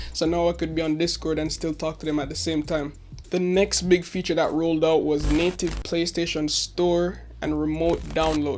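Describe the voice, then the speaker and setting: Speaking quietly, a man moves at a moderate pace with hardly any pauses. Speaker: tech YouTuber. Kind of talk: tech review. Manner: quiet, low volume.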